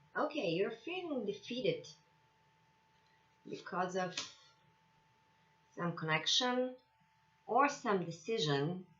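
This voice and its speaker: The speaker talks very slowly, with long and frequent pauses and very wide swings in pitch. Noticeable noise sits in the background. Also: woman, fairly high pitch for a woman. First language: not English. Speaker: tarot reader. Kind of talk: tarot reading. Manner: halting, with many fillers.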